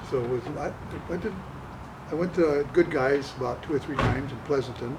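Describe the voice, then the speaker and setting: Over noticeable background noise, a man talks at a fairly quick pace with fairly high pitch and ordinary pitch variation. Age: 80s+. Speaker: car owner selling his car. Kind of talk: casual interview. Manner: halting.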